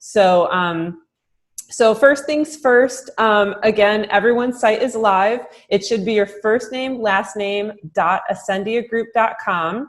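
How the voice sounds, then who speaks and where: A woman at a very slow pace and fairly high pitch, with ordinary pitch variation over a quiet background. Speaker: marketing director training real estate agents; trainer for real estate agents. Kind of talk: recorded software training webinar. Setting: closed room, recorded Zoom webinar. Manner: many filler words (um, uh). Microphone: webcam.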